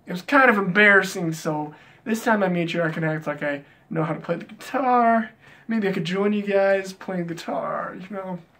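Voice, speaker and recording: This man's raised, projected voice sits high in pitch with a bright, sharp tone. He speaks at a moderate pace with ordinary pitch variation. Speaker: music YouTuber. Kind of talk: casual countdown vlog. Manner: animated.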